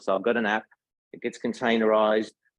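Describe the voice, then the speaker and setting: Speaking at a very fast pace, a man uses a medium-pitched voice. He has an Australian accent. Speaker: tech solutions engineer. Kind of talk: tech talk. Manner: casual.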